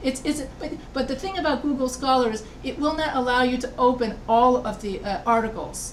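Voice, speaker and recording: A woman with an American accent speaks at a high pitch and a moderate pace, with ordinary pitch variation. Audible room echo and noticeable background noise are present. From United States. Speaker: college writing instructor. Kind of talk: lecture. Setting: video call.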